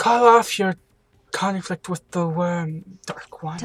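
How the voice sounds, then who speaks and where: The put-on character voice sits at a middle pitch and moves at a fairly slow pace. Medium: game stream. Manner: archaic, theatrical.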